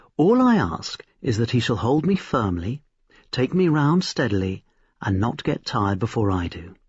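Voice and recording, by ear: A man's put-on character voice at medium pitch, husky with a rough edge, big pitch swings, fairly slow pace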